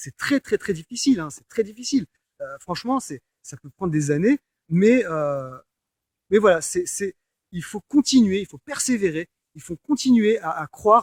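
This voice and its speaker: Speech comes at a fairly slow pace with long, frequent pauses, big swings in loudness and very wide pitch swings, in a dry, close sound with no echo. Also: man, high pitch for a man. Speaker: personal development coach. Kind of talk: coaching talk, explaining affirmations to the audience. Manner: hesitant, many filler words, conversational.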